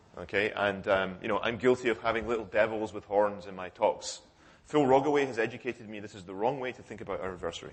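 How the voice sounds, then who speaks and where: Fairly low-pitched man speaking at a very fast pace, with big swings in loudness. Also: ordinary pitch variation. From United Kingdom. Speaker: cryptography researcher. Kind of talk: conference talk. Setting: conference hall with audience. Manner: hesitant with fillers and self-corrections.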